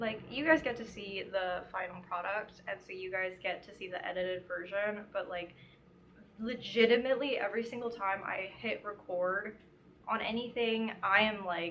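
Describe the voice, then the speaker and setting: Her loudness swinging widely, a woman talks at a moderate pace and medium pitch in a plain, everyday voice with ordinary pitch variation. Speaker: crochet vlogger. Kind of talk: casual chat. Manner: casual, filler-heavy.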